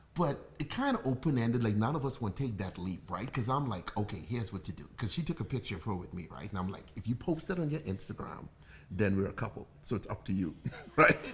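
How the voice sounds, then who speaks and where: At a very fast pace, a man with a Bahamian accent talks in an animated, somewhat breathy tone at a medium pitch with very wide pitch swings. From Bahamas. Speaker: bartender and livestream host. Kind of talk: casual chat. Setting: livestream at home.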